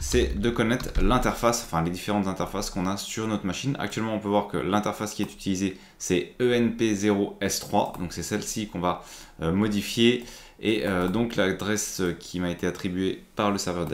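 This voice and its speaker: Fairly low male voice, moderately paced, with ordinary pitch variation. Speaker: IT tutorial creator. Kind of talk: tutorial. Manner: casual, with frequent hesitations.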